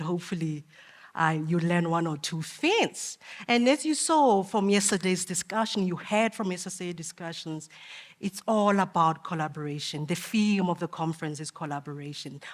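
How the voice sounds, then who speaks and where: This woman has a normal speaking voice, fairly low in pitch with ordinary pitch variation. She speaks at a moderate pace. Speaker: conference speaker for a business sustainability network. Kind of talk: conference presentation.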